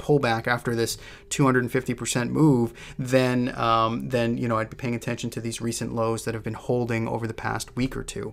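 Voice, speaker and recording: A man with an American accent speaks fairly quickly in a medium pitch with monotone, flat intonation. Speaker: stock trading analyst. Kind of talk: market analysis tutorial. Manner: casual, with many fillers.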